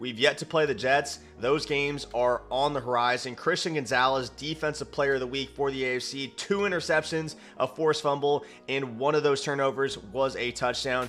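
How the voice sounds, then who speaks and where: A man speaks at a fairly high pitch and moderate pace with hardly any pauses. His intonation is fairly even, and music plays in the background. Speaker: gaming YouTuber. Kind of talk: gameplay commentary. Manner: low energy.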